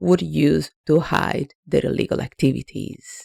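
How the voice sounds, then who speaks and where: Dry and close with no echo, a woman with an Italian accent speaks at a fairly slow pace. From Italy. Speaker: anti-money laundering consultant. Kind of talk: explainer video. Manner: some hesitations and repeated words.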